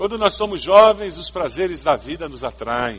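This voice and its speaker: The man speaks with lively intonation. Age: 50s. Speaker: pastor. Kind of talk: sermon.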